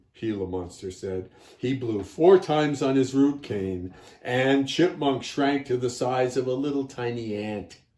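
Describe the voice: What you hear is a plain read-aloud.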